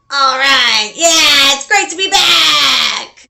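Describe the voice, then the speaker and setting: A female-sounding voice is shouting in a put-on character voice at a high pitch. The pace is very slow. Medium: solo performance.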